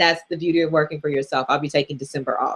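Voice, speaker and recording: A woman speaks loudly in a very deep, low voice. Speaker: personal finance coach. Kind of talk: live Q&A. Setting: livestream. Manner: casual.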